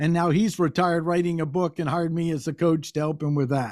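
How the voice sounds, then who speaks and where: Very clean and set against a silent background, this recording features a man. He speaks with an American accent at a high pitch. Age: 60s. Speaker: business coach. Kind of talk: interview.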